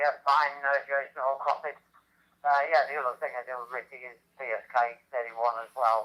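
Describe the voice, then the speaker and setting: A man with a fairly high voice speaks at a moderate pace, his tone bright and sharp. His intonation stays monotone and flat while his loudness swings widely. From England, Lincolnshire. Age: 80s+. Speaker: amateur radio operator. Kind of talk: radio net check-in. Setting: radio transmission via hotspot. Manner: halting, many fillers.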